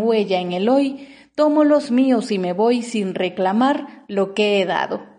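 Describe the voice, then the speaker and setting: A woman's dark, mellow tone at a fairly high pitch. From Mexico, Oaxaca. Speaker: poet podcaster. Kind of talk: poetry reading with commentary.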